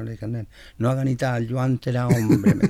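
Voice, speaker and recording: A man talks at a very fast pace in a medium pitch with a dark, mellow tone. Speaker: cueca singer and composer. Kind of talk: interview. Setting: studio.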